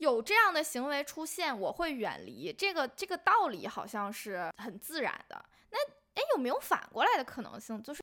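A woman raises and projects her high voice, swinging very widely in pitch at a moderate pace. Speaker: podcast co-host. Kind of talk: casual chat.

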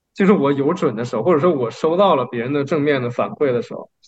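A man with a fairly high pitch and a plain, everyday voice. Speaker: podcast co-host. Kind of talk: casual chat.

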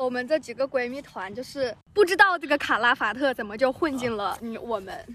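Talking at a fairly quick pace with hardly any pauses, a woman uses a high pitch, lively intonation and big swings in loudness over noticeable background noise. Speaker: podcast co-host. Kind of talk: casual chat. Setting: outdoors on grass by a library.

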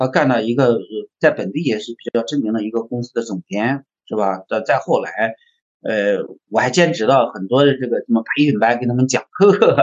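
This is an unremarkable speaking voice from a man at medium pitch. He talks at a moderate pace with ordinary pitch variation. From China, Henan (Zhengzhou). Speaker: design agency founder and packaging designer. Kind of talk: interview conversation.

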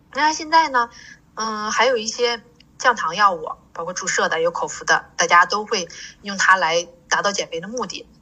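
A woman with a plain, everyday voice speaks at a moderate pace and a fairly high pitch, her intonation lively and her loudness swinging widely. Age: 40s. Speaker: pharmacist. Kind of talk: interview.

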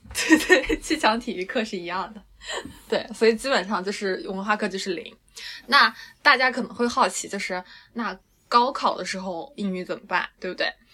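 A woman uses a plain, everyday voice, fairly high, with lively intonation. She keeps a moderate pace, with big swings in loudness. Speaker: dance teacher. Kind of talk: casual chat.

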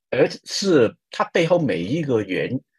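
The voice has very wide pitch swings and some vocal fry. It carries a Hong Kong accent. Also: man, dry, close sound with no echo. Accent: Hong Kong-accented Mandarin. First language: Cantonese (speaking Chinese). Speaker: advertising creative director. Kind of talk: interview. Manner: animated, laughs loudly.

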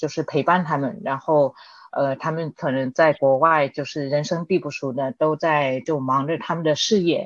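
A woman's very deep, low voice with ordinary pitch variation at a fairly slow pace, over a quiet background. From Spain (Madrid), second-generation Chinese. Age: 30s. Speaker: e-commerce worker, immigrant guest. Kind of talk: casual interview chat.

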